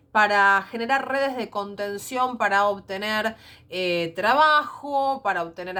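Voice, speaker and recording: Speaking at a fairly slow pace, a woman has a bright, sharp tone and ordinary pitch variation on a very clean recording with a silent background. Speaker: secondary school teacher. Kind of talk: recorded lecture. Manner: hesitant fillers.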